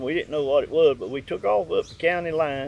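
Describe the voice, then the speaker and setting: Speaking at a fairly quick pace, a man with a Southern US accent has a fairly high pitch. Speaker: dog hunter. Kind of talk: interview answer. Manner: matter-of-fact.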